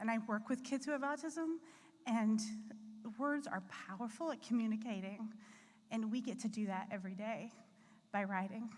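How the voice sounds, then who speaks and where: Somewhat breathy and fairly high in pitch, a woman with an American accent speaks at a moderate pace with ordinary pitch variation and long, frequent pauses. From US Appalachia. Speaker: author accepting award on another's behalf. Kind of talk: acceptance speech at awards gala.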